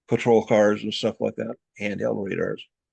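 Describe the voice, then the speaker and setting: With an American accent, a man talks in a fairly low voice with vocal fry, the sound dry and close with no echo. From US Upper Midwest, Moorhead area. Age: 70s. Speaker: military veteran and radio electronics repairman. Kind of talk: interview.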